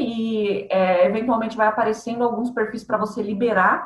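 Fairly high-pitched female speech, fairly quick in pace, its pitch varying in an ordinary way. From Santo André, São Paulo, Brazil. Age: 30s. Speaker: marketing agency owner. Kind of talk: casual interview.

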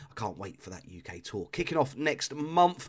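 A man at a fairly quick pace, enthusiastic in tone, with very wide pitch swings. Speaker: radio host. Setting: radio studio broadcast. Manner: friendly, enthusiastic, conversational.

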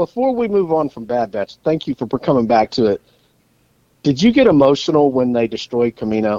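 An unremarkable speaking voice, this man's is medium in pitch with lively intonation, moving at a fairly quick pace in a dry, close sound with no echo. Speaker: podcast co-host. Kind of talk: casual chat, podcast banter.

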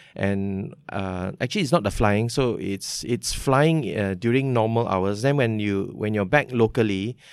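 This man speaks at a fairly slow pace in a Malaysian accent, with a fairly low pitch and ordinary pitch variation, on a very clean recording with a silent background. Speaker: technology executive. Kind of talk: interview. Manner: casual.

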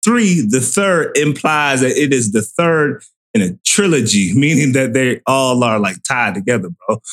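With an ordinary speaking voice and an American accent, a man talks at a fairly slow pace with lively intonation and very even loudness. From Florida. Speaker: podcast host. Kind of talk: casual chat.

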